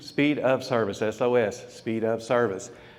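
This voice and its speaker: A man's voice with audible room echo. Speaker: food business speaker. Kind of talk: conference presentation. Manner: animated.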